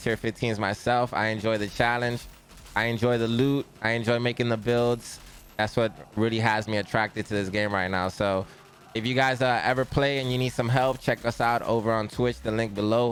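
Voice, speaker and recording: With music in the background, a man speaks in an energetic tone at a fairly quick pace. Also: very even loudness. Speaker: gaming streamer. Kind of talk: game build tutorial. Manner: casual, energetic.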